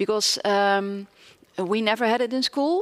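A woman speaks with an ordinary speaking voice. Her intonation stays fairly even. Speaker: professor. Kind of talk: interview. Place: stage. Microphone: headset.

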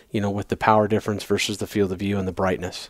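The sound is dry and close with no echo, on a very clean recording with a silent background. A man speaks in a fairly low pitch. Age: 40s. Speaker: optics manager at a hunting gear retailer. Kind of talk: casual chat.

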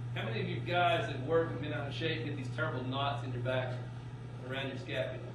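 The recording carries noticeable background noise and audible room echo. Through it, a man's words rush out at a very fast pace. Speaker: meat science instructor. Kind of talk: lecture. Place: classroom. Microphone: camera far.

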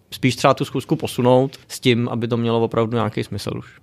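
This recording is very clean, with a silent background. In it, a man talks at a fairly quick pace. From Czech Republic, Děčín. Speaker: entrepreneur. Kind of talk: interview. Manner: casual, many fillers.

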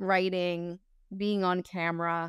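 A woman's medium-pitched voice, dry with no echo, over a quiet background. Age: 40s. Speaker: actor, comedian and social media creator; actor, comedian, social media creator. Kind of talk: casual interview chat. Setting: podcast interview. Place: home room. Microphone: lapel.

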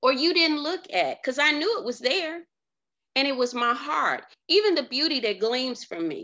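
A woman speaks in a raised, projected voice. Her high pitch swings very widely. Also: moderate pace. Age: 50s. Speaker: life coach. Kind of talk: motivational monologue. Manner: casual with frequent fillers.

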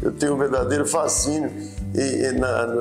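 Clear music plays behind a man as he speaks. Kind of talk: interview answer. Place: office. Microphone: lapel.

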